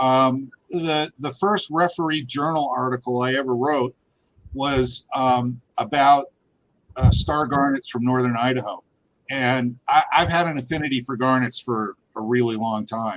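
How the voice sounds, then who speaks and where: A man with an American accent talks at a fairly slow pace in a plain, everyday voice, medium in pitch with ordinary pitch variation. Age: 60s. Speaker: geologist and gem miner. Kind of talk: interview conversation.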